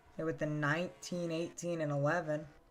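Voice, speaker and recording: Someone soft-spoken talks while music plays in the background. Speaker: sim racing commentator. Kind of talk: live commentary. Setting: live stream.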